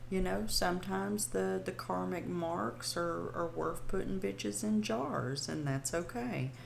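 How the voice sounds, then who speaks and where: The speaker has a Southern US accent and a fairly slow pace. There are hardly any pauses. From US South. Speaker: podcast host, witchcraft practitioner. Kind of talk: casual podcast monologue. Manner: hesitant, many fillers.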